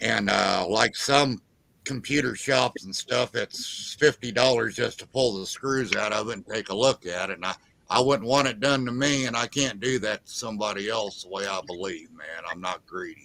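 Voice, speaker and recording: Over noticeable background noise, a man talks at a moderate pace with a medium pitch and ordinary pitch variation. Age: 60s. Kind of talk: casual chat.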